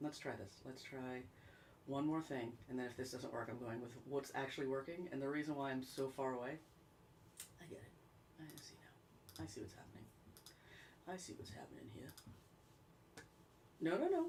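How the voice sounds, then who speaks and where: Speaking with an American accent, a woman with a very deep, low pitch talks at a moderate pace with ordinary pitch variation, big swings in loudness and long, frequent pauses, amid audible room echo and noticeable background noise. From upstate New York. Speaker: singer-songwriter livestream host. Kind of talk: casual livestream chat. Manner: chatty. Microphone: mic problems, sound too low.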